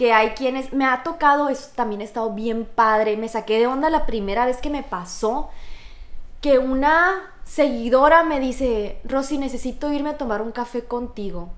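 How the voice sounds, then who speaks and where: Audible room echo surrounds a woman with a high pitch, ordinary pitch variation and a moderate pace. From Mexico, Sonora (Hermosillo). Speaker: teacher. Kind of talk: testimony.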